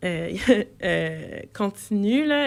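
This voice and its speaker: Woman at medium pitch with a slight Quebec accent. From Quebec, Saint-Hubert (Longueuil). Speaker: multidisciplinary artist. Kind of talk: radio interview. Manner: halting, many hesitations and repetitions.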